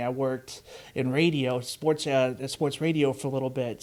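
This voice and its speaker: A man speaks at a moderate pace with a Chicago-area accent. His intonation stays fairly even. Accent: Chicago-area Midwestern, noticeable. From US Midwest (Chicago suburbs, DuPage County, Illinois). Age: 30s. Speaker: podcast host, car dealership employee. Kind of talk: casual chat. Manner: halting, many fillers.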